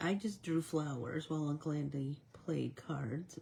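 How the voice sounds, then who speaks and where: A woman speaks with a very deep, low pitch. Her voice is somewhat breathy and her pace fairly slow. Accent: American. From Michigan. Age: 60s. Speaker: art instructor. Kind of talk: live coloring tutorial with casual chat. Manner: animated.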